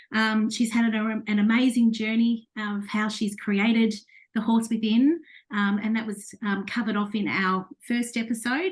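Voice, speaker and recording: A woman speaks at a moderate pace. Her fairly high voice is somewhat breathy. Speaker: podcast host. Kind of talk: interview host introduction.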